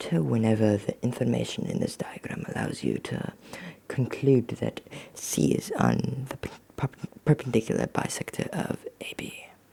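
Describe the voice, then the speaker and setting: Noticeable background noise runs through the clip. The talking proceeds at a moderate pace. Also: man. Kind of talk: ASMR roleplay, relaxed talk while doing math homework. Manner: relaxed, chatty.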